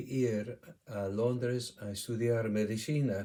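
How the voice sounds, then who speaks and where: A man with an English accent speaks at a medium pitch in a dark, mellow tone. His intonation is fairly even. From England, Shropshire. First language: English (speaking Spanish). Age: 70s. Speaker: retired doctor. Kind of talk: testimony. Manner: halting.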